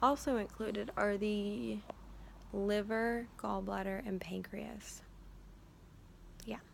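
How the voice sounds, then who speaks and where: A soft-spoken woman at a very slow pace, with long, frequent pauses. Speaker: student giving recorded presentation. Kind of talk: informal recorded school presentation. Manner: quiet, soft-spoken; hesitant with many fillers.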